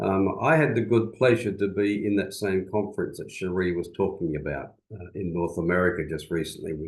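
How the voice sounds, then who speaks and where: Here a man speaks in an Australian accent at a moderate pace. His pitch is very deep and low, with ordinary pitch variation. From Western Australia, rural bush. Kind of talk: seminar talk. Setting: video call. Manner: hesitant, many fillers.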